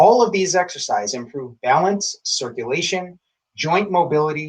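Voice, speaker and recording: The speaker has an ordinary speaking voice and lively intonation. The pace is moderate. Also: man. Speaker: tai chi instructor. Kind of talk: instructional introduction to camera.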